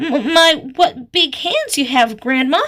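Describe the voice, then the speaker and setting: A put-on character voice from a woman, high-pitched, at a fairly slow pace. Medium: read story.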